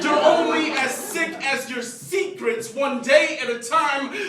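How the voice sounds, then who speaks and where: Against noticeable background noise, a man with an extremely high pitch talks very slowly with ordinary pitch variation. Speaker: spoken word poet. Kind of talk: slam poetry performance.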